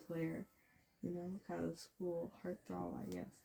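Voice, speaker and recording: Fairly even intonation in a somewhat breathy female voice. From Canada. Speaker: voice actor, storyteller. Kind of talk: casual storytelling monologue. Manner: rambling, filler-heavy.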